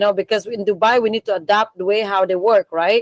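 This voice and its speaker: Recorded with a dry, close sound and no echo, a woman with a Balinese accent talks in a medium pitch and fairly even intonation. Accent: Indonesian (Balinese). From Bali, Indonesia. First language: Indonesian / Balinese. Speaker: coffee business founder. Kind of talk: career talk in online meeting. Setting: video call from storage room. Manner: halting, many fillers.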